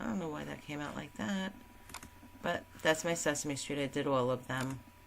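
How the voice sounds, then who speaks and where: Noticeable background noise surrounds this recording. A woman speaks with a very deep, low pitch and ordinary pitch variation. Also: moderate pace. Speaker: crafting tutorial creator. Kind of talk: tutorial.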